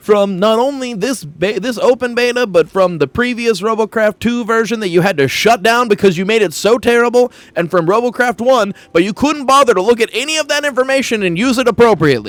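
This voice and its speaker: A man shouting, loud and high in pitch with ordinary pitch variation, at a fairly quick pace with hardly any pauses, in a dry, close sound with no echo. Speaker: gaming streamer. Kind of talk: gaming livestream rant. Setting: livestream. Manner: loud, yelling.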